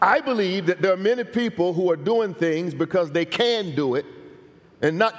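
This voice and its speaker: Lively intonation from a man speaking at a moderate pace. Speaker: pastor preaching. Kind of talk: sermon. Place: church. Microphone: headset.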